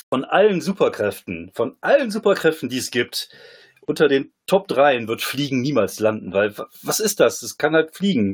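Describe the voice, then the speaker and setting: Vocal fry marks this man's voice at a moderate pace. His pitch swings very widely. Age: 40s. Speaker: comedian and former poetry slammer. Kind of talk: casual chat.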